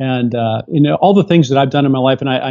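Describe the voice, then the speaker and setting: A man with an American accent, an ordinary speaking voice, medium pitch and fairly even intonation. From raised overseas (Tehran, Beirut, Greece), then Seattle area. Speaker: astronaut and doctor. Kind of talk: interview.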